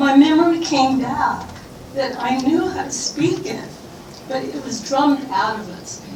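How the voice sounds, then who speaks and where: Someone with a Californian accent speaks at a fairly slow pace. Audible room echo and noticeable background noise are present. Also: woman. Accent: Californian American English. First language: Ilocano. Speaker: exhibit curator, audience member. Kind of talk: audience comment, personal testimony. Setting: library event with audience.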